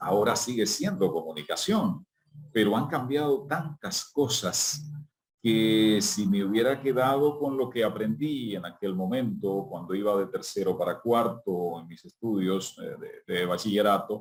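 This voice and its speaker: A man with a normal speaking voice talks at a fairly slow pace. His intonation is lively. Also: medium pitch for a man. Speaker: journalist and announcer. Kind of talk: interview answer.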